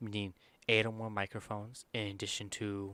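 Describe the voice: Quiet and clear, a man speaks at a moderate pace in a fairly low pitch with a smooth, fairly bright tone and little pitch movement.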